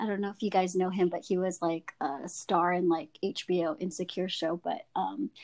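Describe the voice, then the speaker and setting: A woman's medium-pitched voice with an American accent, ordinary pitch variation and a fairly slow pace, dry and close with no echo. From Filipino American. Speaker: activist guest. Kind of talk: casual chat.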